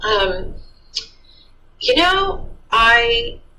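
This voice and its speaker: Noticeable background noise and audible room echo surround the woman as she talks. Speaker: city librarian. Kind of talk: interview. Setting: office. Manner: loud.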